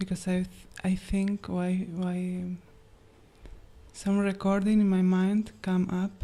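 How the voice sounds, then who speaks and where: A woman speaks very slowly at a medium pitch, with long, frequent pauses. Her tone is dark and mellow, her intonation monotone and flat. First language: not English. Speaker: questioner at a spiritual gathering. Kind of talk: question to a teacher. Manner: halting.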